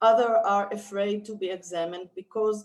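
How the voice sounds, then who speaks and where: A woman's medium-pitched voice at a moderate pace, with fairly even intonation and a non-native accent. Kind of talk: reading a prepared talk. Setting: video webinar. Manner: careful, read from notes.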